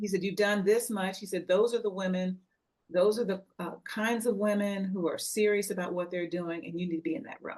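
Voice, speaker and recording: A woman talks at a fairly quick pace. She has an unremarkable speaking voice at a medium pitch. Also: fairly even intonation. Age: 60s. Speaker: network member, wellness business owner. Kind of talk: casual chat.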